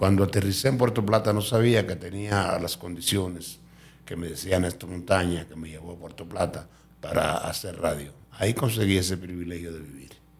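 Somewhat breathy and very deep, a man's voice shows ordinary pitch variation and big swings in loudness, with audible room echo. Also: moderate pace. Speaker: radio and TV presenter. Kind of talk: interview testimony.

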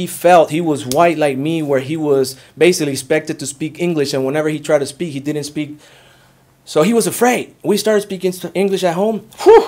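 A man's voice shows ordinary pitch variation while he talks at a fairly quick pace. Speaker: real estate employee and former Coast Guard member; speaker. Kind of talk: public panel presentation. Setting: public forum with live audience. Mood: earnest, animated.

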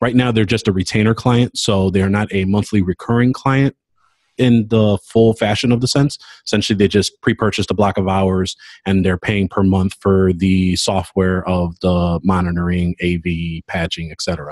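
Against a quiet background, a man speaks with a very deep, low pitch and ordinary pitch variation in a dry sound with no echo. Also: moderate pace. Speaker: podcast co-host. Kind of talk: casual update chat. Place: office. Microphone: webcam.

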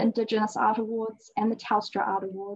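At a fairly quick pace, a woman delivers her words. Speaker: event host introducing artist. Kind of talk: formal introduction speech. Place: hall. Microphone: video call.

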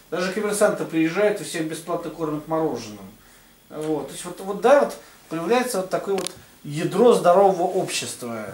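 A man talks at a moderate pace and high pitch with lively intonation. His loudness swings widely, and audible room echo is heard. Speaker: religious writer. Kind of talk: casual discussion. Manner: halting. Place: meeting room.

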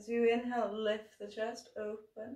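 A woman speaks against a quiet background. Room echo is audible. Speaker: yoga teacher. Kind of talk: guided yoga instruction. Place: home room. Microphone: camera far.

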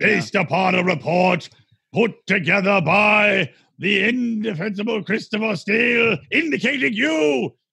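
A man's high-pitched, put-on character voice, menacing and theatrical in tone. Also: moderate pace. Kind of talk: comic overacting. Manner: menacing, theatrical, gloating.

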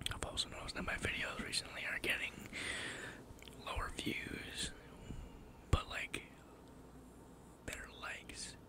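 Whispering, a man speaks with long, frequent pauses. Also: moderate pace. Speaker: ASMR artist. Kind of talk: ASMR whisper ramble. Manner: whispered. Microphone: studio mic.

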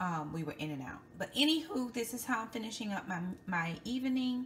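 Against faint background noise, a woman talks at a fairly quick pace with a fairly high pitch and a fairly bright tone. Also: lively intonation.

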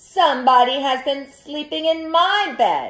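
A woman puts on a character voice with a Spanish-free, high pitch, raised and projected. She speaks at a fairly slow pace.

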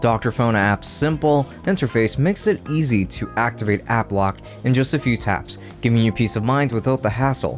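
A man speaks at a moderate pace with ordinary pitch variation. Faint music plays in the background. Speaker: tech youtuber. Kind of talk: tutorial. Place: home room. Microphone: studio mic.

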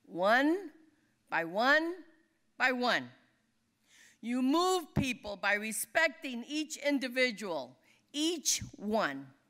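With an American accent, a woman speaks very slowly at a high pitch, her bright, sharp tone moving through very wide pitch swings and long, frequent pauses against a quiet background. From California Central Valley; California. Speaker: labor leader. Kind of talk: award acceptance speech. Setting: dinner event on stage. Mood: earnest, inspiring. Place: hall. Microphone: podium.

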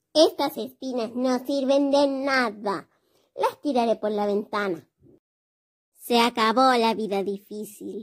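In a cartoonish character voice pitched high, a female-sounding speaker comes through on a very clean recording with a silent background. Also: fairly slow pace. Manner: calm, reassuring.

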